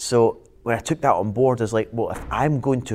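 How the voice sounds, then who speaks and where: A man with a Glaswegian accent at a medium pitch. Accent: Glaswegian Scottish. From Scotland, Glasgow. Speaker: business and property coach. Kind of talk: casual interview chat.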